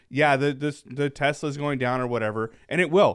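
With a normal speaking voice, a man talks at a fairly quick pace and medium pitch. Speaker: podcast host. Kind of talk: casual chat.

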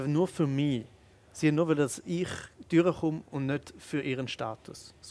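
With a plain, everyday voice, a man speaks at a fairly slow pace and a fairly high pitch in a very clean recording with a silent background. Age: 30s. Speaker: comedian and spoken-word artist. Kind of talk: casual interview. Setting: restaurant.

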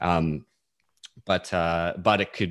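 A man speaks with an Australian accent and a very deep, low pitch. The background is quiet. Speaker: software developer. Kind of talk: casual chat.

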